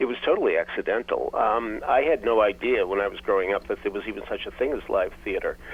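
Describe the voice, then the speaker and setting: Over noticeable background noise, a man with a Boston accent rattles along at a very fast pace with hardly any pauses. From Boston, US New England. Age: 70s. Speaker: theater critic and author. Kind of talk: interview storytelling.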